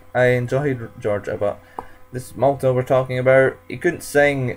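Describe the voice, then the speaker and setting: A man is speaking. Music plays in the background. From United Kingdom. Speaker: YouTuber reviewing a song contest. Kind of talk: casual vlog review.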